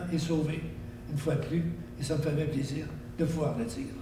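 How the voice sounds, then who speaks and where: The speech moves at a moderate pace with noticeable background noise present. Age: 80s+. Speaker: local historian. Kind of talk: interview.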